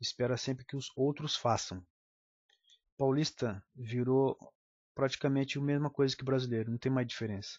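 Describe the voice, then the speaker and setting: Speaking at a medium pitch, the man keeps his intonation fairly even and leaves long, frequent pauses. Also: moderate pace. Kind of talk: political commentary monologue.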